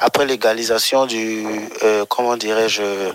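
Noticeable background noise sits behind a man speaking at a very slow pace. His medium-pitched voice stays monotone, with flat intonation. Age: 20s. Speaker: radio listener caller. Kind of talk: radio call-in.

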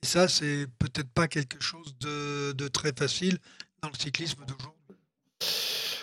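A man speaks very slowly, his intonation monotone and flat. His tone is bright and sharp. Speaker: cycling pundit, former team manager. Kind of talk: casual chat.

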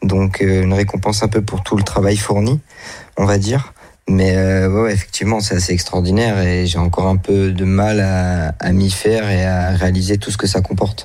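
Very deep, low male pitch in a dark, mellow tone, with monotone, flat intonation, very even loudness and a moderate pace. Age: 20s. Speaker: amateur poker player. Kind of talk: interview. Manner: halting.

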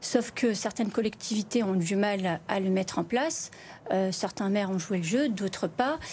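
Somewhat breathy woman at medium pitch, with ordinary pitch variation and a fairly slow pace. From France, Lyon area (Vénissieux, Bron). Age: 40s. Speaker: member of parliament and nurse. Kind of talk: televised political debate.

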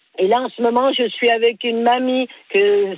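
A woman's high-pitched voice at a fairly slow pace, with ordinary pitch variation. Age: 60s. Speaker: home care worker, radio caller. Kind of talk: call-in debate.

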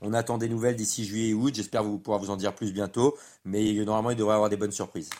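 Flat, monotone delivery at a very fast pace. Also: man, fairly low pitch for a man, very clean recording, silent background. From France. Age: 30s. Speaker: professional padel player and pundit. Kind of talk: casual chat. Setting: padel club.

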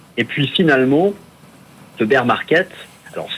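A man is speaking here. His pace is fairly quick. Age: 40s. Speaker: independent financial analyst. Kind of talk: market analysis interview.

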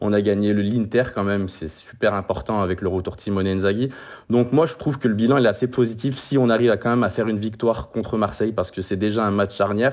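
Speech races along very fast. The pitch moves in an ordinary way. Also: man, fairly low pitch for a man. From France. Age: 30s. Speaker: football fan podcaster. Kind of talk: casual chat. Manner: halting.

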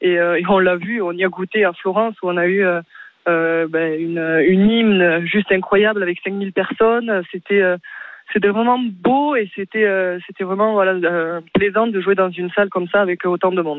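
At a moderate pace, a woman with a normal speaking voice talks at a medium pitch with fairly even intonation. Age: young. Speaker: volleyball player. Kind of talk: radio interview.

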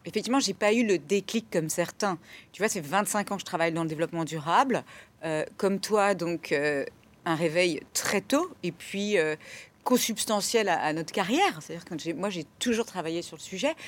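A woman's ordinary speaking voice at a medium pitch, with ordinary pitch variation and a moderate pace. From France, Burgundy. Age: 40s. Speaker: sustainability director. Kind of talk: interview.

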